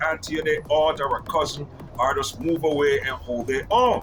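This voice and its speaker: Lively intonation from a man with a fairly high pitch, moderate pace, and noticeable background noise. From Jamaica, moved to New York at 13. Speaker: video commentator. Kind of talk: casual monologue. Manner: halting, repetitive.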